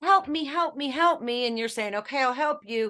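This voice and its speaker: A woman with an American accent talking at a very fast pace in a bright, sharp tone, over a quiet background. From Pennsylvania, US (Pittsburgh area). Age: 60s. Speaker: author and speaker. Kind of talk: interview. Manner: animated.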